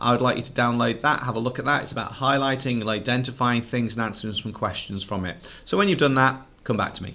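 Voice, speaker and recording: A man speaks very fast with hardly any pauses, using a medium pitch, ordinary pitch variation, a bright, sharp tone and big swings in loudness. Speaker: teacher. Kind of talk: lesson.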